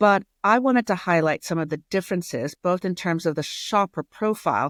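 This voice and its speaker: A woman's medium-pitched voice with an American accent, dry and close with no echo, in a very clean recording with a silent background. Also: ordinary pitch variation, fairly quick pace. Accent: American accent, kept after 20 years in UK. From US. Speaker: retail strategy consultant. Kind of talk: interview.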